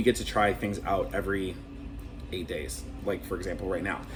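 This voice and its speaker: With an American accent, the speaker keeps a moderate pace and ordinary pitch variation, with audible room echo and music in the background. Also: man. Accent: Minnesotan accent, comes out at times. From Minnesota, Saint Paul (Twin Cities). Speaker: cruise director. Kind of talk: casual interview. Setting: on a cruise ship.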